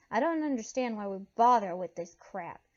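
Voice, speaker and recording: Putting on a character voice, a woman sounds gravelly and fairly high-pitched at a moderate pace. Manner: irritated, dismissive.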